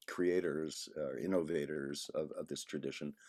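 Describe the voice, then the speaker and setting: A man with a New York accent at a moderate pace, on a very clean recording with a silent background. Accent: New York American English. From New York area, Long Island. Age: 60s. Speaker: saxophonist and composer. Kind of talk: interview conversation.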